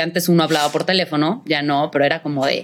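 The speech races at a very fast pace over noticeable background noise. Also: woman. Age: 30s. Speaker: actress. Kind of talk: casual chat.

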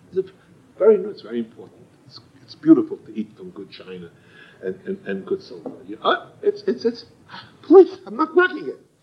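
A man talks fairly quickly but with long, frequent pauses. His loudness swings widely over noticeable background noise. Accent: American. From United States. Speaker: Torah teacher. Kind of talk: lecture. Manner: halting, with frequent repetitions.

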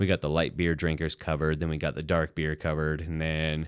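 On a very clean recording with a silent background, a man with an American accent talks at a very fast pace in a very deep, low pitch. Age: 30s. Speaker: head brewer, former navy corpsman. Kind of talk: casual interview.

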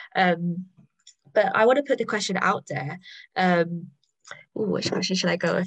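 Somewhat breathy and set at a medium pitch, a woman's voice moves at a fairly quick pace with fairly even intonation. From London. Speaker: network co-founder and panel host. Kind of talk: panel discussion.

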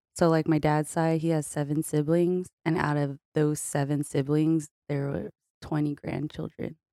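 Speaking in a monotone, flat intonation, a woman with a Californian accent has a very deep, low pitch and a dark, mellow tone. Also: fairly slow pace, dry, close sound with no echo. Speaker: podcast guest. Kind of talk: casual chat.

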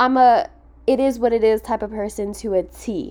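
A woman's normal speaking voice, fairly high in pitch, at a moderate pace. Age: 20s. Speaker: podcast host. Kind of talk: casual monologue.

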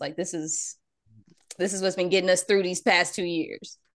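Against a quiet background, a woman with a fairly low pitch speaks at a fairly quick pace. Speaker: podcast host, mother. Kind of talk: casual chat. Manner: animated, playful.

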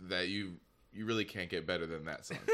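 This voice has a bright, sharp tone, ordinary pitch variation and an American accent. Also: man. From Michigan. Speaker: podcast intern. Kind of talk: casual chat.

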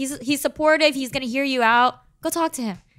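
With a bright, sharp tone, a woman raises and projects her voice. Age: 20s. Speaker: podcast co-host. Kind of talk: casual chat.

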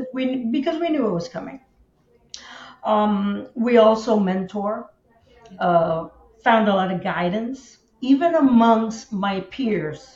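Her pitch fairly high and her intonation lively, a woman speaks at a very slow pace. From Miami. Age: 60s. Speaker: insurance agent and association leader. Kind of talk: interview conversation. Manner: hesitant with frequent fillers.

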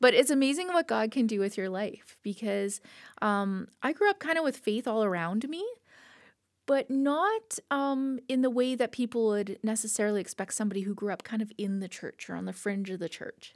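With a Canadian accent, a woman talks in an ordinary speaking voice at a fairly high pitch and moderate pace, her intonation lively, on a very clean recording with a silent background. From Canada, southern Alberta (Lethbridge). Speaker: church children's director. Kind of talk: casual chat.

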